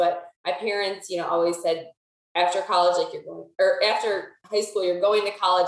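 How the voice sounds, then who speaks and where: This woman speaks with an American accent. Her pitch sits in the medium range. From Pennsylvania. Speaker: salesperson. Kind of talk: casual interview. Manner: halting, many fillers.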